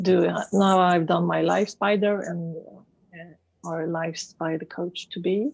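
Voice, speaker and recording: Her pace is very slow. The woman's pitch is fairly low. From Sweden, Stockholm. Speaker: life coach and therapist. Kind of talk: interview. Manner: halting.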